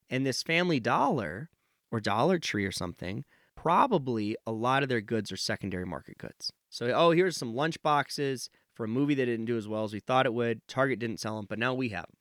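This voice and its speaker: In a very clean recording with a silent background and a dry, close sound with no echo, a man with an American accent uses a normal speaking voice at medium pitch, talking at a fairly quick pace with lively intonation. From Nevada, US. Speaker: professor of supply chain management. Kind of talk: interview.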